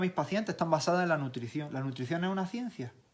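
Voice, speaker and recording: In an Andalusian accent, a man talks at a very fast pace with a fairly high pitch. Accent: Granada Andalusian. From Granada province, Andalusia, Spain. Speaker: physiotherapist and nutrition specialist. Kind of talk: casual interview chat.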